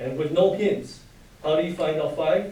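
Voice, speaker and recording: A man speaks loudly. There is audible room echo and noticeable background noise. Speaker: high school math teacher. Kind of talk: lecture.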